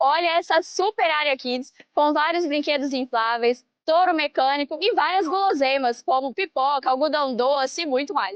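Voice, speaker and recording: Pausing hardly at all, a woman with a high pitch talks at a moderate pace with very even loudness. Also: ordinary pitch variation. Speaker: event host. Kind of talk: event coverage presentation. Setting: outdoors. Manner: upbeat.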